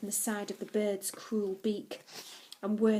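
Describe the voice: The words are read out plainly. Nothing more than plain reading aloud is heard.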